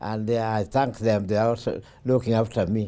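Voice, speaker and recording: A man with a Kenyan accent, fairly low in pitch, at a moderate pace. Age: 80s+. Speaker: retired railway worker. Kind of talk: life story interview. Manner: halting.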